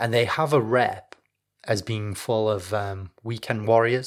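A man with a northern English accent, fairly low in pitch, at a moderate pace with fairly even intonation. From northern England, Leeds. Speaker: history podcast host. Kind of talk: scripted narration.

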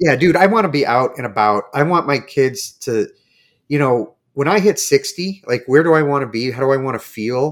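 A man with an ordinary speaking voice talks at a moderate pace in a fairly high pitch with lively intonation. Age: middle-aged. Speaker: podcast host. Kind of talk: casual chat.

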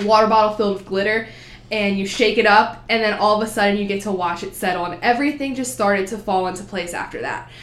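In a room with audible echo, a woman speaks fairly quickly at a fairly high pitch with fairly even intonation. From New Jersey. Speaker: college student, education major. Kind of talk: casual interview.

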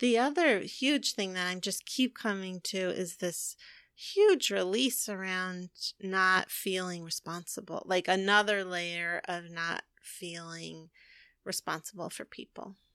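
A woman with a bright, sharp tone speaks at a fairly slow pace and medium pitch, with ordinary pitch variation. Her loudness swings widely, and the sound is dry and close with no echo. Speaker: podcast co-host, energy healer and spiritual coach. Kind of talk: casual chat. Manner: relaxed.

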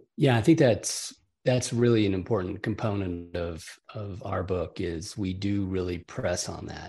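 Over a quiet background, a man with an American accent speaks slowly in a somewhat breathy voice, fairly low in pitch and dark and mellow in tone, with ordinary pitch variation. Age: 70s. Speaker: author and coach. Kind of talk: casual interview chat.

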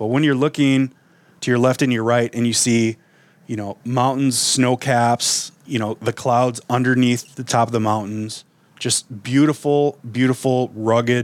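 Recorded dry and close with no echo, a man speaks at a moderate pace in an unremarkable speaking voice, his pitch medium and his intonation fairly even. The recording is very clean, with a silent background. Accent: American. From Wisconsin. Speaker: outdoor radio show host. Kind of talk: casual interview conversation.

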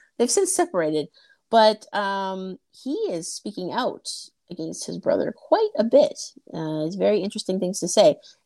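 A woman with a Canadian accent talks at a moderate pace with big swings in loudness, the sound dry and close with no echo, in a very clean recording with a silent background. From Canada, Toronto. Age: 30s. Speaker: podcast host. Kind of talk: casual chat. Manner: animated.

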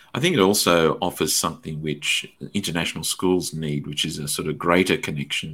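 Speaking with an Australian accent, a man uses a very deep, low pitch, a bright, sharp tone, ordinary pitch variation and a fairly quick pace. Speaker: podcast host and teacher. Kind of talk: interview conversation.

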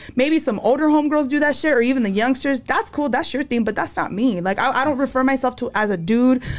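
The woman talks at a very fast pace in a high pitch, with hardly any pauses. Noticeable background noise runs underneath. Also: ordinary pitch variation. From New Mexico. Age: 40s. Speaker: security worker and tattoo artist. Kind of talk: casual chat. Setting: studio.

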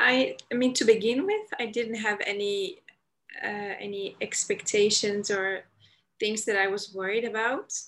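Speaking at a fairly slow pace, a woman uses a fairly high voice with fairly even intonation. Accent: Dutch. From Netherlands, Amsterdam. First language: Dutch. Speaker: convert guest. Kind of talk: casual chat. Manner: halting.

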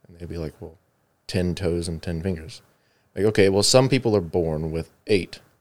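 Delivered at a moderate pace in an American accent, the speech has ordinary pitch variation and big swings in loudness. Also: man, very deep, low pitch for a man. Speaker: podcast host. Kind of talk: casual chat. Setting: studio.

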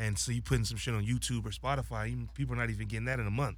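With an American accent, a man speaks at a very fast pace, his pitch very deep and low, with vocal fry. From Los Angeles, San Fernando Valley. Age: 20s. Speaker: social media influencer and rapper. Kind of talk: casual chat.

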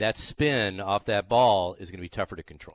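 A man speaks at a moderate pace against a quiet background, with a dry, close sound and no echo. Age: 60s. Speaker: golf radio host. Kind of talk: sports radio talk. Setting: radio studio.

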